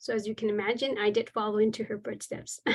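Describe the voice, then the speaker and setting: A woman with an American accent speaks in a fairly high pitch over a quiet background. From Texas, Mexican heritage. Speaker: business instructor. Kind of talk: webinar lecture. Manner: hesitant, many fillers.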